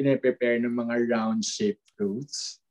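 Dark and mellow in tone, a man's voice moves fairly slowly with very wide pitch swings. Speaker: podcast co-host. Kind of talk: casual chat.

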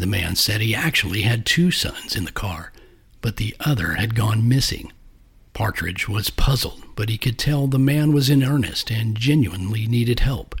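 The speaker uses a dramatic tone with lively intonation at a moderate pace. The voice is somewhat breathy. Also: man, medium pitch for a man. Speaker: podcast host and narrator. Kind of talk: scripted true-crime style narration of a cryptid legend. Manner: measured, dramatic, storytelling delivery; formal and suspenseful.

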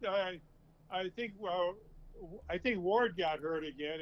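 Moderate in pace, this man's speech sits at a high pitch. His pitch variation is ordinary. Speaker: grandfather of the hosts, football fan. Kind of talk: casual chat. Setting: phone call.

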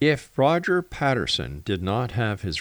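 A man with a Canadian accent, lively intonation and vocal fry, in a dry, close sound with no echo and a very clean recording with a silent background. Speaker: radio host. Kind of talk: radio station announcer reading disclaimers and show promos, then interview. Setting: radio studio.

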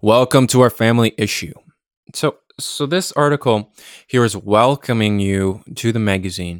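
A man speaks at a moderate pace and a medium pitch, with ordinary pitch variation. The recording is very clean and dry, close with no echo, over a silent background. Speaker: podcast host. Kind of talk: solo magazine review, casual commentary. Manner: halting, many filler words; rambling, descriptive.

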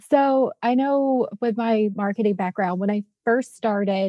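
This woman has a plain, everyday voice, medium in pitch, with ordinary pitch variation and a moderate pace. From US South, Louisiana. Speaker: front end engineer. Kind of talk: casual chat.

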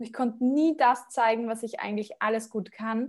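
Her pitch is high. This woman speaks at a moderate pace. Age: 20s. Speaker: career coach and entrepreneur. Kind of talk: interview.

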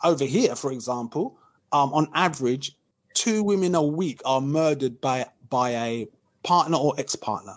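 A man talks at a moderate pace against a quiet background. His pitch sits fairly high and varies in an ordinary way. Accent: British. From UK. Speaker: author and podcaster. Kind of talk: casual chat.

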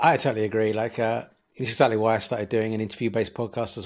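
Speaking at a very fast pace, a man talks in a British accent. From United Kingdom. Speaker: podcast host. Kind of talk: casual interview. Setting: video call.

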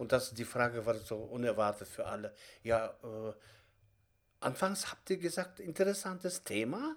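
A man talks at a moderate pace and medium pitch, with very wide pitch swings. Long pauses come often. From Kazakhstan. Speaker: theatre director and acting teacher. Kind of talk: interview. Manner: halting.

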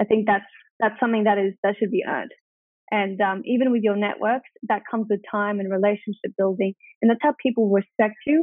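Fairly quick and fairly even in intonation, a woman speaks at a fairly high pitch with an Australian accent. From Australia, regional New South Wales (Wagga Wagga). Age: 20s. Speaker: entrepreneur. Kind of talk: interview.

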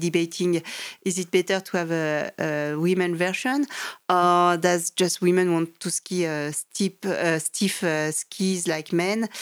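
On a very clean recording with a silent background, a woman with a French accent speaks at a fairly low pitch, fairly slow pace, and fairly even intonation. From French Alps, France. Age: 40s. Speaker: mountain guide and climber. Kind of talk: interview. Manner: hesitant, many fillers.

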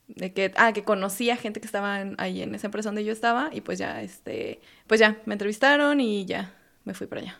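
A woman with an unremarkable speaking voice talks at a fairly quick pace and a fairly high pitch, with fairly even intonation. Her loudness swings widely, and the recording is very clean with a silent background. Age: 30s. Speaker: software engineer and fitness instructor. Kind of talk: casual interview.

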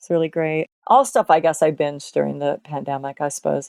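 A woman speaks in a very deep, low pitch with ordinary pitch variation, in a dry, close sound with no echo. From Washington state. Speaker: punk singer and teacher. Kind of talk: casual interview.

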